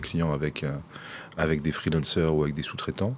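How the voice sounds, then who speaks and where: A man is speaking. His pitch is very deep and low. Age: 40s. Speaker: IT director at a consulting firm. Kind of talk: interview. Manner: halting, many repetitions.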